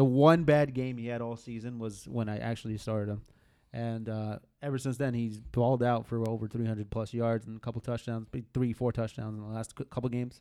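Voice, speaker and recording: Dark, mellow, medium-pitched male voice, monotone and flat, fairly quick, on a very clean recording with a silent background. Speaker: fantasy football podcast co-host. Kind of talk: casual chat.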